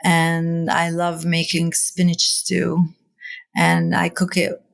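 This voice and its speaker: A woman speaks with an Arabic accent. Her pitch is fairly low. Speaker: seed library founder. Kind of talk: interview conversation. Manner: hesitant, many fillers.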